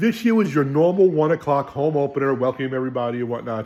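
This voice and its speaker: Speaking very fast in a New York accent, a man uses a fairly high pitch and an animated tone. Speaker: sports fan video host. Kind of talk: casual game recap.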